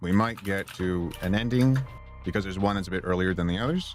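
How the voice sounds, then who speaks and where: Speech at a fairly quick pace runs over music in the background. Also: man. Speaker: voice actor, audiobook narrator. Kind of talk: casual game stream commentary.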